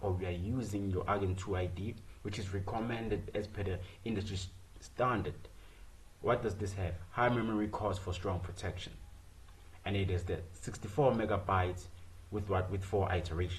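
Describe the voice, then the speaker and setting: Somewhat breathy speech with fairly even intonation, long, frequent pauses and audible room echo. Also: man. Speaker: student presenting software project. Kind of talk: screen-share code walkthrough. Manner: fast; rhetorical questions, repetitive fillers.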